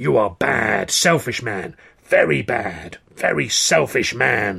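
A man's put-on character voice, shouting and growling, croaky and fairly low, with very wide pitch swings at a fairly slow pace. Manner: shouting, accusatory.

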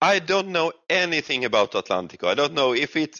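With a Swedish accent, a man speaks at a moderate pace with lively intonation and vocal fry. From Sweden. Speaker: gaming streamer. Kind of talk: casual chat. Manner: halting.

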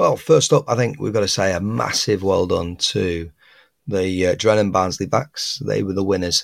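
A man with a northern English accent, fairly low in pitch with ordinary pitch variation, at a moderate pace, in a very clean recording with a silent background. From northwest England. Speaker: podcast host. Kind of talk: solo podcast commentary on fishing news.

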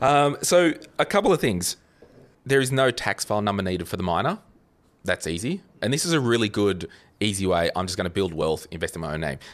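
A man with an Australian accent, fairly low in pitch, very fast pace broken by long, frequent pauses, very wide pitch swings, all on a very clean recording with a silent background. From Australia, New South Wales Central Coast. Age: 30s. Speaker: finance podcaster. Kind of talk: casual chat.

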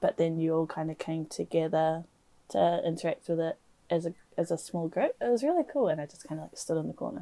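A woman with a New Zealand accent talks very fast, her loudness swinging widely. The sound is dry and close, with no echo. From New Zealand, Waikato. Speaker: podcast co-host. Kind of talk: casual chat.

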